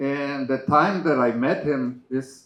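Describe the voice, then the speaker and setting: A man's medium-pitched voice with a slight Mexican accent, at a very slow pace. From Mexico. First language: Spanish. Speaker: cancer survivor support group member. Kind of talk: memorial eulogy. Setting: memorial service with audience.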